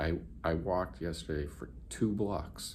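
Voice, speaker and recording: A man's very deep, low voice with a dark, mellow tone, vocal fry, ordinary pitch variation and audible room echo. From New England. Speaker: vlogger. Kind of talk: casual vlog. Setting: hotel room, then outdoors downtown. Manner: casual, halting with fillers.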